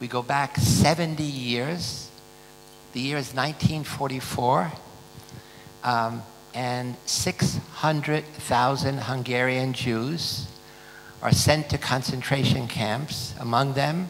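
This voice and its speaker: Against noticeable background noise, a man of medium pitch talks at a very slow pace with fairly even intonation. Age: 80s+. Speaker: conference host introducing speaker. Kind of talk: speech introduction.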